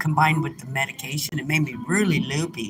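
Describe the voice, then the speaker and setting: Noticeable background noise runs under the recording. The woman talks at a moderate pace. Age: 60s. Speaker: livestreamer reading chat. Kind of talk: casual live stream chat. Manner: halting.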